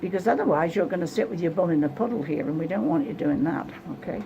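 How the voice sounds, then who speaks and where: A woman at a fairly quick pace, fairly low in pitch, with lively intonation over noticeable background noise. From England. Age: 70s. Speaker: psychic reader. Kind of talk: psychic reading session. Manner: blunt, direct.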